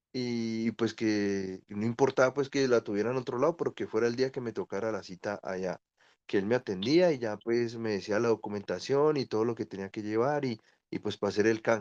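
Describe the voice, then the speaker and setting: Against a quiet background with a dry, close sound and no echo, a man talks at a fairly quick pace in an unremarkable speaking voice, medium in pitch with ordinary pitch variation. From Colombia. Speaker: asylum seeker, caller. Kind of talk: casual chat.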